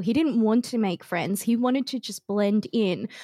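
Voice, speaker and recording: A woman with an Australian accent speaks at a fairly high pitch in a dark, mellow tone, recorded dry and close with no echo. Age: 30s. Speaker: streamer and content creator. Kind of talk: casual chat. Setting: remote podcast studio.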